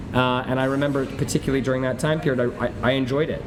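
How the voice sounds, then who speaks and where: A man of medium pitch speaks very fast with an American accent, with noticeable background noise and audible room echo. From New York. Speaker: restaurateur. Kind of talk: interview. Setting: busy restaurant. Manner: many fillers and repetitions.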